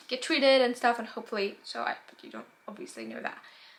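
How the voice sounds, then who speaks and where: A woman with a fairly high pitch talks while noticeable background noise carries on. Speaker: book vlogger. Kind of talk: casual chat. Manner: fast.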